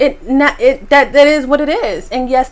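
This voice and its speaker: A woman talks in an animated tone with an American accent. Her pace is moderate. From New York. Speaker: mukbang youtuber. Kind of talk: casual eating vlog reaction.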